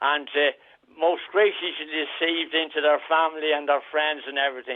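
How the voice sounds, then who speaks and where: A man with a Dublin accent, fairly high in pitch, at a fairly quick pace with monotone, flat intonation. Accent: Irish (Dublin). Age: 80s+. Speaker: caller. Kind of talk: phone-in radio interview. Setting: phone call. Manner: halting.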